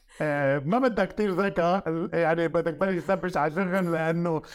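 In a Lebanese accent, a man with a high voice speaks at a moderate pace on a very clean recording with a silent background. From Lebanon. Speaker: media consultant. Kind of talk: interview.

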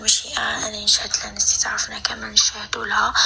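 Through noticeable background noise, a woman can be heard whispering. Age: young. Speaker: listener sending a voice message. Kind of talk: recorded voice message.

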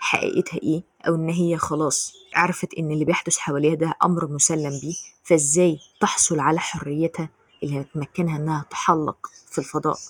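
A woman speaks in a very deep, low voice with an Egyptian accent and a flat, monotone intonation. The sound is dry and close, with no echo. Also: moderate pace. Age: 20s. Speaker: podcast host. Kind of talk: solo commentary podcast.

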